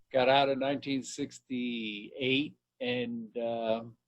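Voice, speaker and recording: A man speaks with an American accent. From New York, Long Island. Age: 70s. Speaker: channel owner being interviewed. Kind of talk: interview, personal life story.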